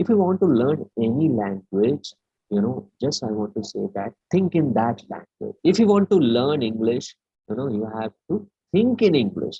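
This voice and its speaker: The speaker has a Keralan accent and a moderate pace. The pitch swings very wide. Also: man, medium pitch for a man. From India, raised in Delhi. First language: Malayalam. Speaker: webinar speaker, educator. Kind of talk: lecture. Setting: online webinar. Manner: halting, many fillers.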